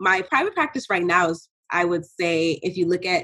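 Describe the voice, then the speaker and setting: Using a normal speaking voice, a woman with an American accent talks at a moderate pace and a fairly low pitch. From New York City (Bronx). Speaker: clinical psychologist. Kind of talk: interview.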